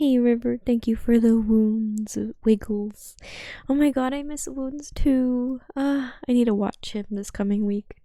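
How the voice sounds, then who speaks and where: A soft-spoken woman talks at a fairly slow pace in a high pitch with a dark, mellow tone and fairly even intonation. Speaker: VTuber streamer. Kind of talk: casual chat. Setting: live stream.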